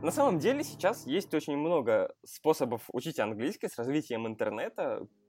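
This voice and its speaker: Background music can be heard. The talking proceeds at a moderate speed. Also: man. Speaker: podcast host. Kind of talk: casual chat.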